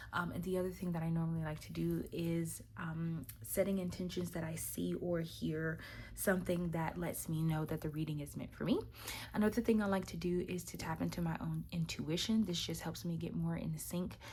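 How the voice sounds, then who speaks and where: A woman talks at a moderate rate while the room's echo is audible around her. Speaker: tarot card reader. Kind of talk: weekly tarot reading to camera. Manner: hesitant, many fillers.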